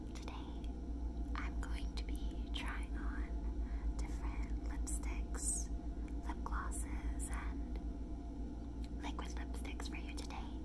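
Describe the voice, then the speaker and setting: Amid loud background noise, a woman speaks at a very slow pace, with long, frequent pauses. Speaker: ASMR creator. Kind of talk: ASMR makeup showcase talking to camera. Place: home room. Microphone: phone near.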